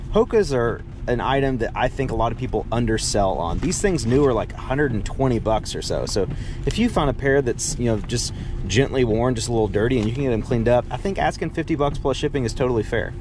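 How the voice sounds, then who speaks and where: With noticeable background noise and a dry sound with no echo, a man talks at a fairly quick pace with ordinary pitch variation. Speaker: thrift reseller vlogger. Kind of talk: casual vlog chat. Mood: upbeat, chatty. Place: car. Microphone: phone near.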